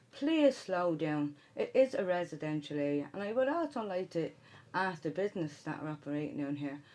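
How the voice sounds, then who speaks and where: A woman with a Dublin accent talks at a moderate pace. Her tone is dark and mellow, and her pitch swings very widely. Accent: Dublin Irish. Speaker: city councillor. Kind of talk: radio interview. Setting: studio.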